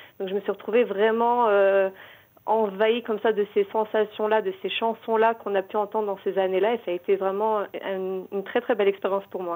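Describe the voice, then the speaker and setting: A woman's medium-pitched, monotone voice with flat intonation at a moderate pace, in a very clean recording with a silent background. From Morocco. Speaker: novelist and librarian. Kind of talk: radio interview.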